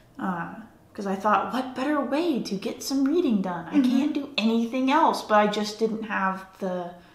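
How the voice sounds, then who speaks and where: The speaker's intonation is lively and the pace moderate. Background noise is noticeable. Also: woman. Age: 30s. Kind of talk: interview answer.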